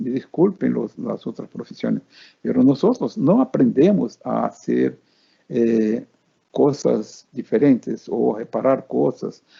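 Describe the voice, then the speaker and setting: This man talks at a very slow pace. The sound is dry and close, with no echo. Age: 80s+. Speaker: maintenance engineer and course instructor. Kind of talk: webinar talk. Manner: halting, many fillers and repetitions.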